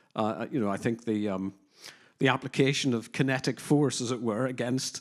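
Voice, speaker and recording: A man with a Northern Irish accent speaks at a moderate pace in a medium pitch with ordinary pitch variation, on a very clean recording with a silent background. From Northern Ireland, working-class. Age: 50s. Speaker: criminologist and counter-extremism adviser. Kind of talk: conference panel discussion. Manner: hesitant, many fillers.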